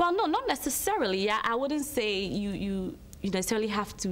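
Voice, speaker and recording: A woman with an American accent at medium pitch, fairly quick pace and lively intonation, over noticeable background noise. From Ghana. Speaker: marketing consultancy director. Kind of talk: TV interview. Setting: TV studio.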